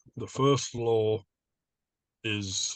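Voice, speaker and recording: A man with an Australian accent speaks at a fairly low pitch, the sound dry and close with no echo against a quiet background. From northwestern New South Wales, Australia. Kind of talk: interview answer.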